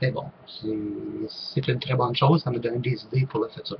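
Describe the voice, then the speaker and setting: This man speaks with a Quebec accent. His voice sits at a medium pitch. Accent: Québécois. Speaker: online group leader, paranormal YouTuber. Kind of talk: casual vlog Q&A. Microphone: poor-quality microphone.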